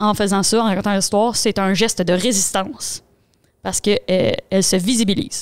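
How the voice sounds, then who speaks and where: With a Quebec accent, a woman talks at a fairly quick pace and medium pitch. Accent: Québécois French. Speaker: podcast co-host. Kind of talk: casual chat; book summary. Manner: fast.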